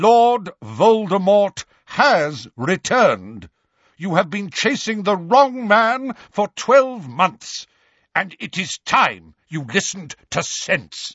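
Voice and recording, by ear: Dry and close with no echo, a man's put-on character voice sits high in pitch with a fairly bright tone and slightly husky edge, moving slowly with few pauses and big pitch swings.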